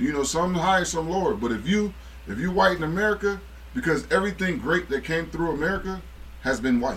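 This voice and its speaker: Speaking at a fairly quick pace, a man uses lively intonation and a high pitch. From Akron, Ohio. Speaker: former basketball player. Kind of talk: casual chat.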